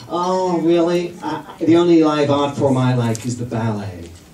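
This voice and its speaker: A man's voice comes through at a moderate pace with audible room echo and noticeable background noise. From England. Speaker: comedian. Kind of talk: stand-up. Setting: stage with audience. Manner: animated.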